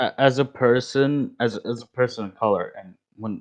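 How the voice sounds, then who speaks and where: In a quiet background, a man with a non-native accent speaks at a moderate pace, his pitch varying in an ordinary way. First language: not English. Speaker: voice chat participant. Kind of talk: casual chat. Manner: halting.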